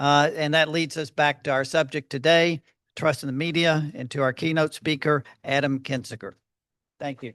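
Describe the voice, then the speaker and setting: A man with an American accent speaks at a moderate pace with fairly even intonation and a fairly high pitch. The background is quiet, and the sound is dry and close with no echo. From Texas, Fort Worth. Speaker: journalist and editorial adviser. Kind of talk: speech introducing a keynote speaker. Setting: luncheon event with audience.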